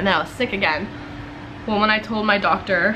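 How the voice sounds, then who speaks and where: Moderate pace against light background noise. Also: woman. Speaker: vlogger. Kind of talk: casual vlog chat. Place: home room. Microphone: phone near.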